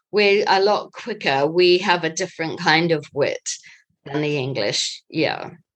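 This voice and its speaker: This woman speaks slowly-ish, at a fairly slow pace, in a New Zealand accent. Her pitch is fairly low, with ordinary pitch variation. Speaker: interviewee. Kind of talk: casual interview answers.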